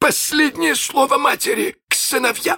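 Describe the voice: A man does a put-on character voice at an extremely high pitch, bright and sharp in tone with vocal fry. He keeps a moderate pace and ordinary pitch variation, and the sound is dry and close with no echo.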